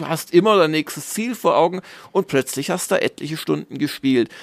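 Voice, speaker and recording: A man's fairly high voice with very wide pitch swings at a moderate pace, dry and close with no echo. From southern Germany (Swabia). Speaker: games journalist and magazine publisher. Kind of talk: casual interview.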